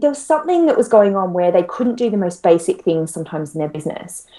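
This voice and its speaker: A woman with an Australian accent talks in a dark, mellow tone, her pitch swinging very widely. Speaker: money mindset coach. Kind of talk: interview.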